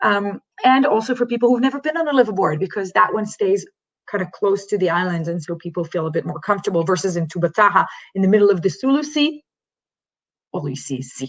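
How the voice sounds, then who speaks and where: Very wide pitch swings mark this woman's speech. She talks at a very fast pace. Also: medium pitch for a woman. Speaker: dive resort representative. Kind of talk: online presentation.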